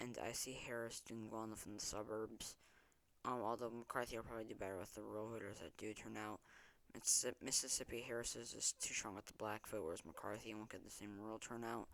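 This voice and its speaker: Soft-spoken, the man talks in a monotone with flat intonation. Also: medium pitch for a man, fairly quick pace. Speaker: political commentary youtuber. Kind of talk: election prediction monologue. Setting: at home at night. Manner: quiet, talking softly; hesitant, many filler ums.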